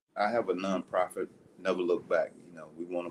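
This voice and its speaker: Over noticeable background noise, a man with a Southern US accent speaks at a moderate pace. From US South, South Carolina. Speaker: youth mentor and boxing coach. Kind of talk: interview. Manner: halting.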